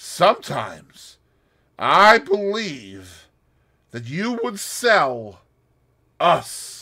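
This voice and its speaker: Putting on a character voice, a man projects loudly at a high pitch with very wide pitch swings, speaking very slowly with long, frequent pauses. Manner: sinister, slow, suspicious.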